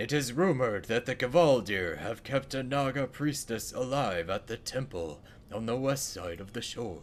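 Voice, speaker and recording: Over clear background noise, a man uses a put-on character voice at a medium pitch and a moderate pace. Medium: game stream. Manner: solemn, earnest.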